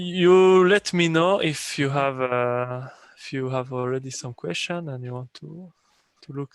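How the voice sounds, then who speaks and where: A man speaks at a fairly high pitch. His pace is fairly slow and his pitch varies in an ordinary way. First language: not English. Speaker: software developer presenting his tool. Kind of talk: technical training session.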